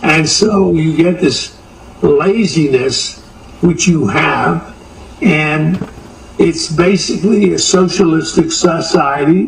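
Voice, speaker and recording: A man's high-pitched voice at a very slow pace, very even in loudness, with ordinary pitch variation and noticeable background noise. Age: 80s+. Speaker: businessman, home improvement chain co-founder. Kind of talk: TV news interview answer.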